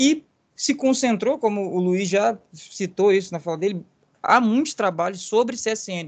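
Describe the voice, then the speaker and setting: This man's voice sits high in pitch with ordinary pitch variation. He speaks at a fairly slow pace. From Brazil, Volta Redonda (Rio de Janeiro state). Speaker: history researcher. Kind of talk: podcast interview.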